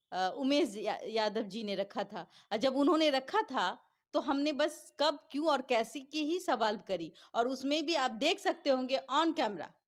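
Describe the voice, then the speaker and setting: In a very clean recording with a silent background, a woman speaks at a high pitch with very wide pitch swings. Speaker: journalist. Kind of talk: interview.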